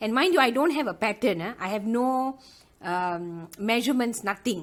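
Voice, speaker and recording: Speaking at a moderate pace with lively intonation, a woman has a strong Malaysian accent. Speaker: loom knitting tutor. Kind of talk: tutorial. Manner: chatty, many fillers.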